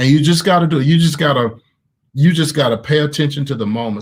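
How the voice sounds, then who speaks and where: A man talks at a fairly quick pace in a Southern accent. His intonation is lively, and his voice is somewhat breathy. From US South, Mississippi. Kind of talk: online group discussion with teaching. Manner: animated.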